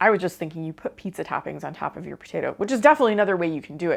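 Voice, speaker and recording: A fairly low-pitched woman with an American accent, in a very clean recording with a silent background. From US Midwest, Ohio. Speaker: cooking channel host. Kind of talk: casual review of cooked recipes. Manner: casual, chatty.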